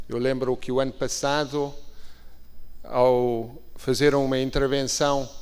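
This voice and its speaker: Speaking in a European Portuguese accent, a man with medium pitch uses monotone, flat intonation amid audible room echo. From Portugal. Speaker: ambassador. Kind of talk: formal conference speech. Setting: stage at conference. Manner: formal.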